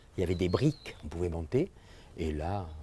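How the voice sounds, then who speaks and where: A man speaks at a moderate pace in a dark, mellow, somewhat breathy voice with ordinary pitch variation, on a very clean recording with a silent background. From France, Dordogne (Terrasson). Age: 70s. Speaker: local resident recalling the past. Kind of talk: interview reminiscence.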